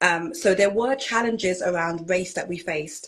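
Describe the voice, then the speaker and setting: With a British accent, a woman speaks at a fairly slow pace. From Britain. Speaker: minister and pageant titleholder. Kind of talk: interview.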